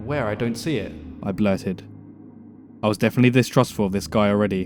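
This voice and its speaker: Music plays behind a man talking at a very fast pace with ordinary pitch variation. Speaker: story narrator. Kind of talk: horror story reading.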